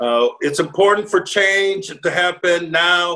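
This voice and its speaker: A man with an American accent speaks with lively intonation. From United States. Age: 60s. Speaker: former football player and executive. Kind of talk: interview. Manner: halting, many fillers.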